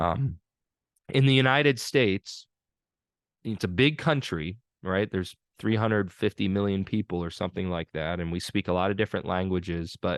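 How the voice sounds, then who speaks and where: A man with a northern US accent speaks at a moderate pace in a very deep, low voice. The sound is dry and close with no echo over a quiet background. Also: ordinary pitch variation. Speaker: pastor teaching a seminary course. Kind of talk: online lecture. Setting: video call.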